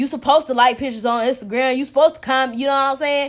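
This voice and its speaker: An animated woman's voice on a very clean recording with a silent background. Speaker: podcast host. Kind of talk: angry rant, profane and heated, venting about relationships and disrespect. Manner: animated, loud, emphatic, fired-up and conversational; casual and unscripted, peppered with slang.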